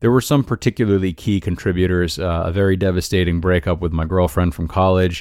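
With an American accent, a man speaks in a very deep, low pitch and fairly even intonation on a very clean recording with a silent background. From US Northeast, Rhode Island. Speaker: life coach podcast host. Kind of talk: solo podcast monologue. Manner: casual, frequent filler uh.

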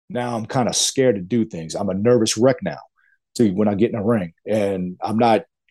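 A man's fairly low-pitched voice, dark and mellow in tone, with a slightly husky edge and ordinary pitch variation

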